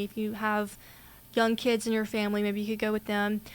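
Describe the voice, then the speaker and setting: A woman talks with a Southern US accent at a fairly high pitch. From US South, Mississippi. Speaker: podcast co-host, college student. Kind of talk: casual chat.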